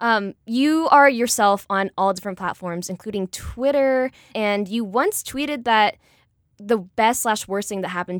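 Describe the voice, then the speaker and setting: An ordinary speaking voice with lively intonation moves at a fairly slow pace in a very clean recording with a silent background and a dry, close sound with no echo. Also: woman. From US, Vietnamese immigrant family. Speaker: podcast co-host. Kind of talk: casual chat.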